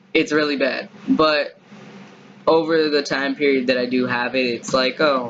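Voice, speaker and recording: The speech goes at a fairly slow pace with ordinary pitch variation, over noticeable background noise. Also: man, fairly high pitch for a man. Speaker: vlogger. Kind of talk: casual monologue vlog. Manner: halting.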